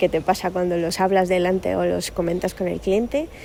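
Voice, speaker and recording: A woman with a strong Asturian accent and a dark, mellow tone. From Cali, Colombia. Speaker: sales department employee. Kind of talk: recorded question message.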